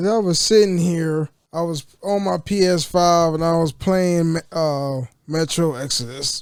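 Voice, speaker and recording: Speaking at a fairly slow pace, a man with a high pitch uses a relaxed tone and ordinary pitch variation. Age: 30s. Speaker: gaming content creator. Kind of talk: casual talk to camera. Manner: casual, relaxed.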